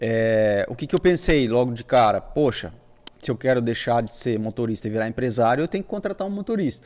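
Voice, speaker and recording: A man with a normal speaking voice and medium pitch talks at a fairly quick pace. His intonation is lively. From Brazil, Paraná interior (Toledo). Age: 40s. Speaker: business owner, trucking company founder. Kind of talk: podcast interview, casual life story.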